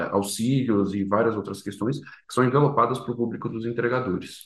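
A man talks at a very fast pace with a medium pitch and ordinary pitch variation. Audible room echo surrounds the recording. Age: 20s. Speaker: startup founder. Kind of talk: interview.

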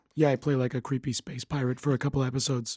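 In a robotic, put-on character voice, a man rattles along at a very fast pace and a medium pitch. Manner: creepy.

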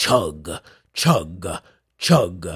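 A raspy, put-on character voice. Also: man, very deep, low pitch for a man. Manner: ominous, rhythmic chugging.

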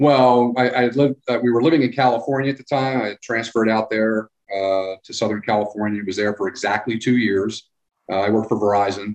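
A man with an unremarkable speaking voice, medium pitch and fairly even intonation. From Philadelphia / New Jersey area. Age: 50s. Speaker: local government public works director. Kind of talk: casual interview.

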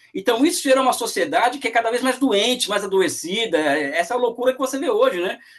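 Over noticeable background noise, a man with an extremely high pitch speaks in an animated tone with lively intonation and hardly any pauses. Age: 40s. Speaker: economics professor and author. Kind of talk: interview.

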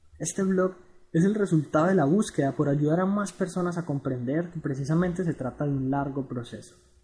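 A man at a high pitch, with lively intonation and a moderate pace. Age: 20s. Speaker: blogger on personal finance. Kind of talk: reading aloud a blog article.

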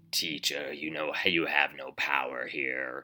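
Using a put-on character voice, a man sounds raspy and very deep, speaking fairly slowly in a monotone, flat intonation. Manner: diabolical, triumphant.

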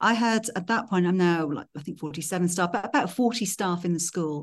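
A woman with a Welsh accent speaks at a very fast pace against a quiet background. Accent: Welsh-tinged British English. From Wales. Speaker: school head. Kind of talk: interview.

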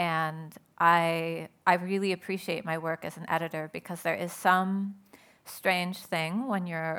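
Speaking very slowly, a woman with an American accent uses a fairly low pitch and monotone, flat intonation. The recording is very clean, with a silent background. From Southern California. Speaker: writer and poet. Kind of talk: panel talk.

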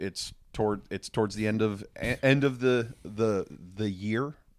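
A man speaks in a plain, everyday voice with a fairly low pitch. His intonation is fairly even. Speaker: comic book writer. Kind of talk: casual interview.

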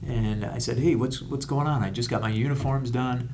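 In a room with audible echo, a man with an American accent talks at a moderate pace, his medium pitch held in fairly even intonation. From Rochester, New York, US. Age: 40s. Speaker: comedian and retired Marine. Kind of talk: casual interview chat.

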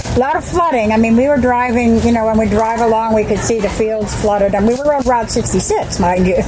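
A woman talks very fast with hardly any pauses, very even loudness and ordinary pitch variation. Audible room echo and noticeable background noise are present. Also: fairly high pitch for a woman. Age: 70s. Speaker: retired administrator, substitute teacher, camper. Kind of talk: casual interview.

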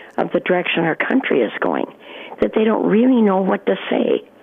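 A man is talking while noticeable background noise fills the recording. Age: 60s. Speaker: caller. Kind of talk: call-in radio comment. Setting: phone call.

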